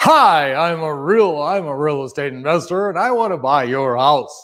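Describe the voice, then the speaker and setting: A man's put-on character voice, fairly high in pitch, with lively intonation at a moderate pace. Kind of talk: smooth, salesy radio voice. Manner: slick, over-polished.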